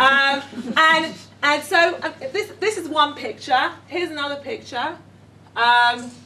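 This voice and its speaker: Using a raised, projected voice, a woman speaks at a fairly slow pace in a high pitch with very wide pitch swings. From London, England. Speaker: educator running a gap year programme. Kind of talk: workshop presentation. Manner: hesitant, many fillers.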